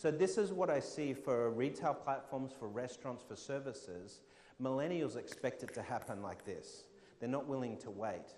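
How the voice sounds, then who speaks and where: Lively intonation in an Australian accent, at a moderate pace, with audible room echo. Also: man, medium pitch for a man. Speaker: fintech keynote speaker. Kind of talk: conference talk with audience Q&A.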